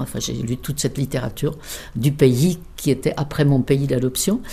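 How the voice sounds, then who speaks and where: The woman's voice is very deep and low, with vocal fry, a dark, mellow tone and ordinary pitch variation. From Czech Republic, South Bohemia. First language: Czech (speaking French). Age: 70s. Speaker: interpreter, emigrant interviewee. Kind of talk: life story interview.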